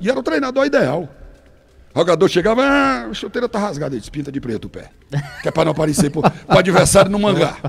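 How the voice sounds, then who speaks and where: Animated and very fast, a man speaks at a high pitch with very wide pitch swings and big swings in loudness. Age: 60s. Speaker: radio broadcaster. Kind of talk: interview storytelling.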